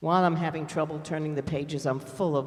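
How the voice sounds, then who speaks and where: Somewhat breathy and fairly quick, a man speaks in a New York accent amid audible room echo. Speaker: congregation lay leader. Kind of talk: congregational announcements. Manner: chatty, informal.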